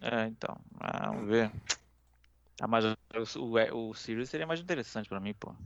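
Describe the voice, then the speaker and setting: A man talks at a moderate pace with medium pitch and ordinary pitch variation. He leaves long, frequent pauses. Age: 30s. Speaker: gaming podcast co-host. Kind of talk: casual chat.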